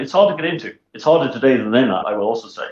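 A man speaks with a Welsh accent. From South Wales (Swansea). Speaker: investment director. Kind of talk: interview.

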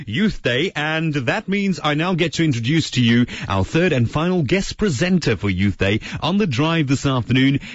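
A man speaks at a moderate pace, his fairly high voice somewhat breathy. His pitch swings very widely. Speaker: radio presenter and teacher. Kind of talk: radio show.

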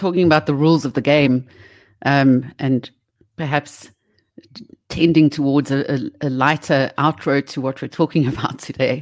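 A woman's very deep, low voice, fairly even in intonation, with big swings in loudness. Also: moderate pace. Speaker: radio co-host. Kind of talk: casual radio chat.

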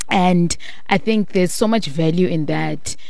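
This woman talks at a fairly slow pace in a South African accent. The room echo is audible, and background noise is noticeable. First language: Xhosa. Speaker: radio host. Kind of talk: radio interview.

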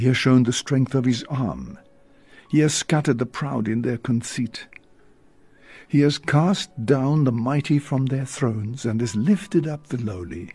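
At a fairly slow pace, a man speaks with a medium pitch, ordinary pitch variation and a dark, mellow, somewhat breathy tone. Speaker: priest leading evening prayer. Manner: earnest, reverent, slow and fervent.

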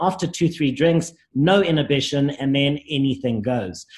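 At a moderate pace, a somewhat breathy man talks with a fairly high pitch and ordinary pitch variation. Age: 30s. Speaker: life coach, recovering addict. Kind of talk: interview, personal testimony.

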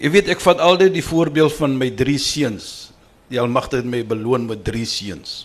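This man's voice sits at a medium pitch and carries lively intonation. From Cape Town, South Africa. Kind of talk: panel discussion.

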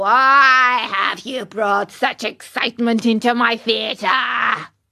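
A put-on character voice at a fairly high pitch moves at a very slow pace. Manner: gruff, demanding.

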